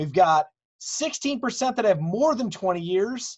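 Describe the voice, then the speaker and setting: A man with an American accent speaks at a very slow pace. The background is quiet. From US Midwest. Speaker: webinar host, board member. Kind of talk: event hosting. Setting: video call webinar. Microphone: video call.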